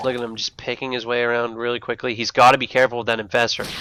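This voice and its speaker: A man speaks over noticeable background noise. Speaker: game commentator. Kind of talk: live commentary. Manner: animated.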